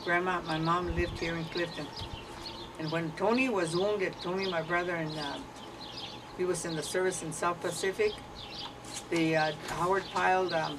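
A woman's fairly low voice at a moderate pace, fairly even in intonation, over noticeable background noise. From Arizona, US Southwest. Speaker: elderly interviewee sharing family history. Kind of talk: oral history interview. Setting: at home, partly outdoors in the garden. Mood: relaxed reminiscing. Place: home room. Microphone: camera far.

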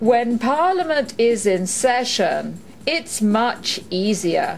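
A woman at a very slow pace with very wide pitch swings, music in the background. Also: fairly high pitch for a woman. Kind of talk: pronunciation guide prompt.

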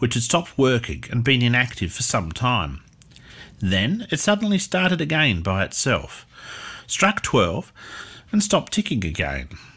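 A man's fairly slow, solemn delivery at a medium pitch, with vocal fry and very wide pitch swings. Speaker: narrator. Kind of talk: scripted history storytelling narration. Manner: measured, solemn, storyteller pacing; formal.

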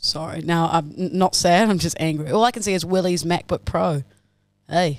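A woman speaks with an Australian accent at a moderate pace. Her pitch varies in an ordinary way, and the sound is dry with no echo. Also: fairly low pitch for a woman, quiet background. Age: 30s. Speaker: podcast co-host. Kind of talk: casual chat. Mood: playful mock anger. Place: studio. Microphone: studio mic.

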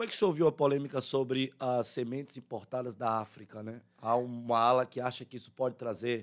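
A man speaks in a plain, everyday voice at medium pitch and a moderate pace. His intonation is fairly even, and the background is quiet. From southern Bahia, Brazil. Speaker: radio host. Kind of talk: live radio interview. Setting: radio studio. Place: studio. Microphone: studio mic.

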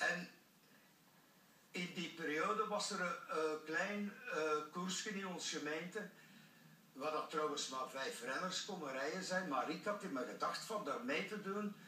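A man speaks fairly slowly at a high pitch. There is audible room echo along with light background noise. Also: ordinary pitch variation. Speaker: former professional cyclist. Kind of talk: TV interview answer. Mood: cheerful, storytelling. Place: studio.

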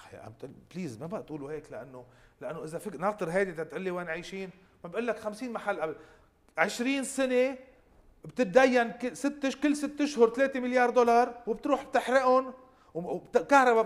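Lively intonation at a fairly quick pace over a quiet background. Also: man. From Lebanon. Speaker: member of parliament; guest. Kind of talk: political interview. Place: studio. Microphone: lapel.

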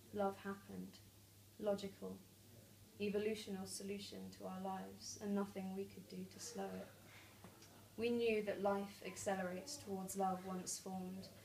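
A woman speaks in a nervous tone at a moderate pace, leaving long, frequent pauses. Light background noise can be heard. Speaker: poet. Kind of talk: spoken word poetry, reading aloud own poem with flowing, vivid science imagery. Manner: nervous at first, then lyrical and measured; laughs and stumbles mid-poem. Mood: calm, measured. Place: home room. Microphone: camera far.

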